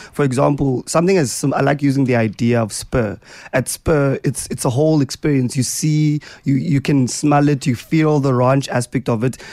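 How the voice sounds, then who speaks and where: A man with a South African accent speaks at a moderate pace in a dark, mellow tone, his pitch fairly high for a man, with ordinary pitch variation and very even loudness. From South Africa (Eastern Cape). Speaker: radio host. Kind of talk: radio interview chat. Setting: radio studio.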